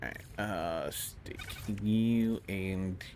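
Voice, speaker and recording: Against noticeable background noise, a man with an American accent speaks at a fairly low pitch with ordinary pitch variation. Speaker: video game streamer. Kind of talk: live gaming stream commentary.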